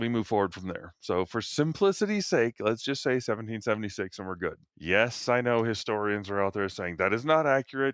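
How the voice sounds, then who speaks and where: With an American accent, a man talks fairly quickly with hardly any pauses in an ordinary speaking voice, medium in pitch with ordinary pitch variation, over a quiet background. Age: 50s. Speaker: podcast co-host. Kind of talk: casual chat.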